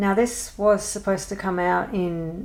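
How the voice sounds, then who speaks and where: The voice belongs to a woman. She speaks with an Australian accent. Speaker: adult colouring hobbyist. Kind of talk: casual talk to camera.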